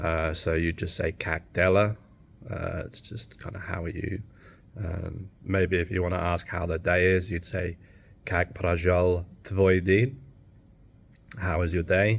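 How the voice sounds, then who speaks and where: Speaking at a fairly slow pace with long, frequent pauses, a man with an English accent and a very deep, low pitch is heard on a very clean recording with a silent background. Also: fairly even intonation. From England. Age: 30s. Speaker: vlogger. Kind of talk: casual chat. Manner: halting.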